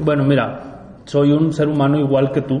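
A man with a plain, everyday voice, fairly high in pitch, at a moderate pace. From Mexico, Monterrey. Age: 40s. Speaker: life coach and businessman. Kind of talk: interview conversation.

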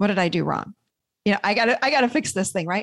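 A normal speaking voice with an American accent carries lively intonation. The background is quiet. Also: woman. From upstate New York (Rochester). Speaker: therapist and podcast host. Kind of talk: interview, explaining her self-help model.

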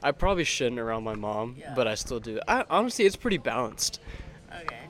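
Over noticeable background noise, a medium-pitched man talks at a very fast pace with lively intonation and big swings in loudness. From Texas, San Antonio. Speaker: podcast co-host, college student. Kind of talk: casual chat.

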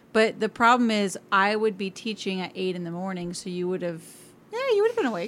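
Here is a woman with a plain, everyday voice at a medium pitch. She speaks fairly quickly with fairly even intonation. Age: 30s. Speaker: teacher. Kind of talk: casual chat.

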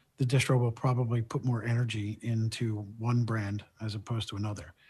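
Over a quiet background, a man with an American accent speaks fairly slowly in a somewhat breathy voice with fairly even intonation. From South Philadelphia. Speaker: independent cannabis sales vendor. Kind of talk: casual interview.

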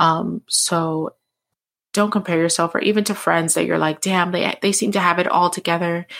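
In a very clean recording with a silent background, a woman speaks at a moderate pace with a fairly low pitch. Her intonation is monotone and flat, and her loudness stays very even. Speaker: podcast host. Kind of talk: solo monologue. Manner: many fillers.

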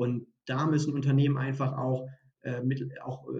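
A man speaks in a flat, monotone way. His pitch sits fairly high and the voice is somewhat breathy. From northern Germany, Hannover area. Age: 30s. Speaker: recruiting consultant. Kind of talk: podcast interview. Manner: halting, many repeated words.

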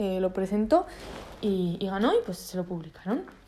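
A woman's dark, mellow tone at a fairly slow pace. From Spain. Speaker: podcaster. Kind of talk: solo casual monologue. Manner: hesitant, many fillers.

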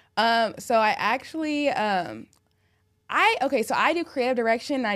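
This woman's pitch is fairly high. She speaks with lively intonation. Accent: Californian. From California, Orange County. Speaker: rolling paper company founder. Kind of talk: casual interview chat.

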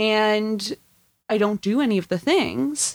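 In a very clean recording with a silent background, a woman speaks at a fairly high pitch with very wide pitch swings. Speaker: comedian and server. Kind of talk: casual chat.

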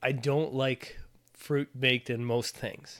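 On a very clean recording with a silent background, a man with an Ontario accent speaks at a very slow pace. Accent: Canadian (Ontario). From Ontario, Canada. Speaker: podcast co-host. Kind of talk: casual chat.

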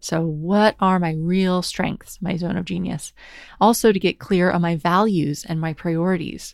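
Using an unremarkable speaking voice, a woman talks at a fairly slow pace and fairly low pitch with fairly even intonation, on a very clean recording with a silent background. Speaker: podcast host. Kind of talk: solo monologue podcast episode, personal reflection. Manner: casual, conversational, laughs often.

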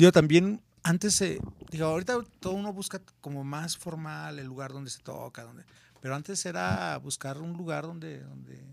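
A plain, everyday voice. It moves at a moderate pace. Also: man, fairly high pitch for a man. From Mexico, Guadalajara, Jalisco. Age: 50s. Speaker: rock musician. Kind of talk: casual chat.

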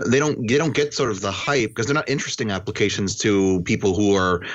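Speaking with an American accent at a fairly quick pace, a man has an unremarkable speaking voice, fairly low pitch and ordinary pitch variation. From US Midwest, Wisconsin. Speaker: panelist, web developer.

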